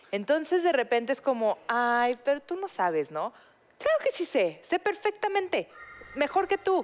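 The sound is dry and close, with no echo. A woman speaks at a fairly slow pace with very wide pitch swings. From Mexico. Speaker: podcast co-host. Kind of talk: casual chat.

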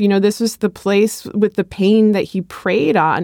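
A woman speaks at a moderate pace with a medium pitch. She has a normal speaking voice. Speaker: podcast co-host and commentator. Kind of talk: interview discussion.

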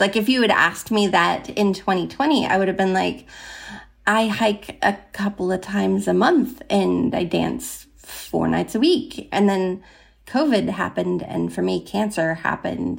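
A woman with an American accent talks fairly slowly, and the recording is very clean with a silent background. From southern Oregon, US Pacific Northwest. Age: 50s. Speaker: advice seeker. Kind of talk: casual chat.

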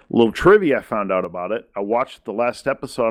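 A man with a plain, everyday voice speaks at a fairly quick pace and a medium pitch. The background is quiet. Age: 40s. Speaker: podcast host. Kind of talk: casual chat.

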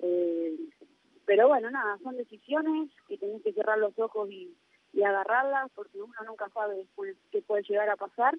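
This woman has a plain, everyday voice. She speaks at a moderate pace with a fairly high pitch. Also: lively intonation. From Argentina. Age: 20s. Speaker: professional footballer. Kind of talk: interview.

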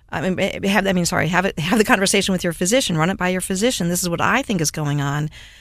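Very fast speech with hardly any pauses and ordinary pitch variation. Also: woman, medium pitch for a woman. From US Midwest (Cleveland, Ohio area). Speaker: pharmacist and author. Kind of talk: interview.

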